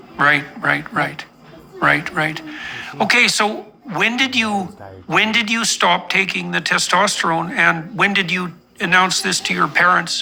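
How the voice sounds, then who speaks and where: Speech moves at a fairly slow pace with long, frequent pauses. Noticeable background noise is present. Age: 60s. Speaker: psychologist interviewer. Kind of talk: interview.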